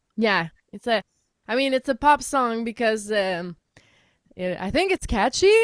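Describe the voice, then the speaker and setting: A woman with a French Canadian accent, fairly high in pitch and lively in intonation, at a fairly slow pace with long, frequent pauses, in a dry, close sound with no echo. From Quebec. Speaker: singer-songwriter. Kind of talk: radio interview.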